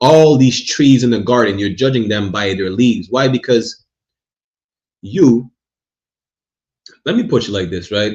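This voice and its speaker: A somewhat breathy man with a non-native accent, a medium pitch, lively intonation and a moderate pace. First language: not English. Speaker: religious teacher. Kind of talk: religious class lecture. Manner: repetitive, stammering restarts.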